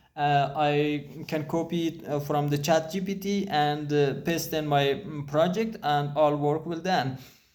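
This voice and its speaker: A man with a non-native accent and a fairly high pitch, fairly slow and fairly even, with hardly any pauses and audible room echo. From Afghanistan. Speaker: programmer. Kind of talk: casual talk to camera. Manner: halting, many fillers.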